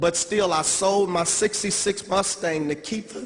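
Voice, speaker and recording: A man talks fairly slowly while noticeable noise sits in the background. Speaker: network marketing distributor, former youth pastor. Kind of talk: convention speech.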